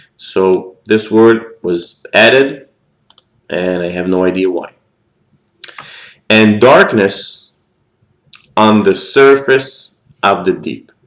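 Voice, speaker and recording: Spoken very slowly with an Israeli accent, the speech has long, frequent pauses and ordinary pitch variation. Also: man, fairly low pitch for a man. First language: Hebrew. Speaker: scripture teacher. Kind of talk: lecture. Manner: halting.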